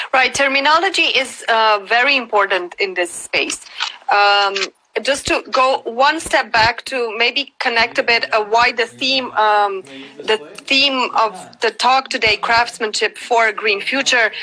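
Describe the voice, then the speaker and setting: The speaker has a Romanian accent and a fairly slow pace. Loudness stays very even, with ordinary pitch variation. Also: woman, fairly high pitch for a woman. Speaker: cultural rights advocate. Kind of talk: interview. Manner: halting, many fillers.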